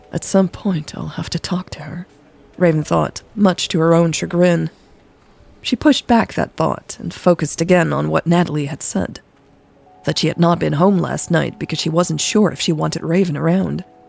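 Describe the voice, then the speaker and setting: Music in the background behind a woman keeping a moderate pace. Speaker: podcast story narrator. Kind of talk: romance audio story reading. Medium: read story.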